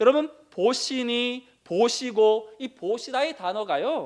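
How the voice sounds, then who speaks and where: A man speaks at a very slow pace, his pitch making very wide swings. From Daegu region, South Korea. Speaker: pastor. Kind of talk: sermon. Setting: church.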